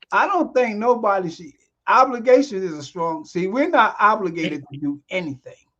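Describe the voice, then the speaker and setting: Bright and sharp in tone, a man's high-pitched voice moves at a moderate pace with very wide pitch swings and big swings in loudness. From South Jersey, US. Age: 60s. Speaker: screenwriter and director, podcast guest. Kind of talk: casual chat.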